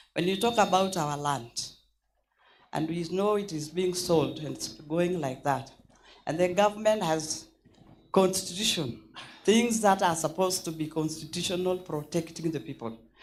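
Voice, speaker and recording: Ordinary pitch variation comes at a moderate pace with long, frequent pauses. The room echo is audible. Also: woman, fairly low pitch for a woman. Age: 70s. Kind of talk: conference floor remarks. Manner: halting; impassioned.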